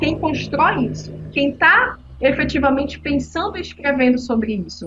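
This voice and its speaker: The woman talks at a moderate pace. Background noise is noticeable throughout. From northern Brazil, Belém, Pará. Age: 40s. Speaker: climate activist, podcast guest. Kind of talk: casual podcast conversation.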